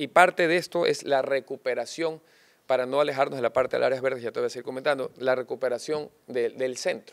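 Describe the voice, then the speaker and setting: A man rattles along at a very fast pace while the background stays quiet. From Guayaquil, Ecuador. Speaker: mayoral candidate; candidate. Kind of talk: political interview. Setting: studio set. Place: studio. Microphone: studio mic.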